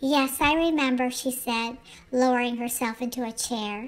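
Over noticeable background noise, a woman speaks in a calm, gentle tone at a moderate pace with ordinary pitch variation. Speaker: bedtime story narrator. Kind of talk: bedtime story reading aloud. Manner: soft, calm, gentle storytelling pace.

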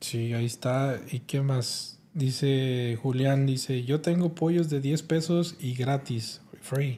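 This man speaks at a very slow pace in a dark, mellow tone that is somewhat breathy. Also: fairly high pitch for a man, fairly even intonation. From Mexico, Guanajuato. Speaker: livestream podcast host. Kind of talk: casual chat. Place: studio. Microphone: studio mic.

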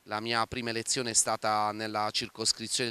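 The man's tone is bright and sharp, and the sound is dry with no echo. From Bari, southern Italy; Italy. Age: 30s. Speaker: city councillor; local politician. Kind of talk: interview. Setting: outdoors on the seafront. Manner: hesitant, frequent filler 'eh'. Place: waterside. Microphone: handheld.

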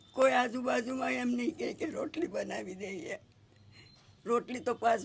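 A woman's voice with very wide pitch swings and vocal fry. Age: 70s. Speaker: elderly widow in need of aid. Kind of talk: testimony.

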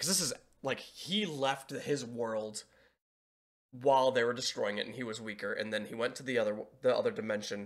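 Against a quiet background, a man speaks. His pace is fairly quick. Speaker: reaction video creator. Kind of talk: casual reaction commentary. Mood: relaxed, amused. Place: home room.

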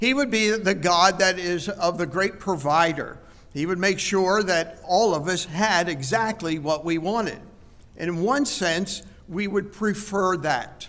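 A man's high-pitched voice at a fairly slow pace. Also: ordinary pitch variation. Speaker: preacher. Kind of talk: sermon. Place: church. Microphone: headset.

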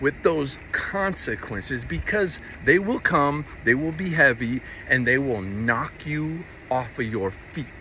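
The speech moves at a very slow pace. The sound is dry with no echo, and there is light background noise. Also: man. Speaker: vlogger. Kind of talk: casual vlog chat, heartfelt personal message. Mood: earnest, heartfelt. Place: open country. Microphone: phone near.

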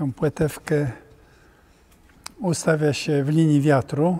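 A man talks very slowly at a fairly high pitch. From Poland. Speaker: sailor, yacht captain. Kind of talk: interview answer, explaining on a yacht. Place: hall.

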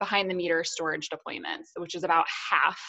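In a monotone, flat intonation, a woman speaks against a quiet background. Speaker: presenter. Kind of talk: webinar presentation. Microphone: webcam.

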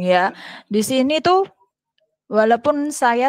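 A woman speaks at a fairly slow pace in a plain, everyday voice with ordinary pitch variation. The sound is dry and close, with no echo. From Indonesia (Central Java). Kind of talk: testimony. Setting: video call.

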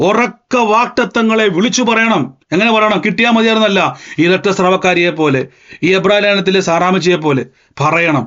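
Very even in loudness, a man talks at a high pitch with ordinary pitch variation. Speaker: preacher. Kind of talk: sermon.

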